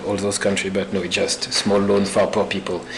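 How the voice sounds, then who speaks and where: A man with a French accent and a fairly low pitch, amid noticeable background noise and audible room echo. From France. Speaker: visiting postdoctoral researcher. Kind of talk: academic seminar presentation.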